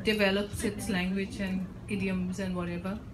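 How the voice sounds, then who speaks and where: In an Indian accent, a woman speaks at a moderate pace. Her audible room echo mixes with noticeable background noise. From India, Bengal. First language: Bengali. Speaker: author and academic. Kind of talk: book launch Q&A. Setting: bookstore event with audience. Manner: halting.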